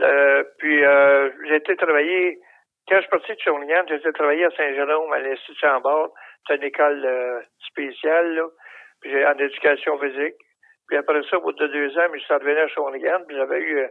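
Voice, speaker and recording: Intonation stays monotone and flat while the words come at a moderate pace. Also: man, fairly high pitch for a man. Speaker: retired professional wrestler. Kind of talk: interview.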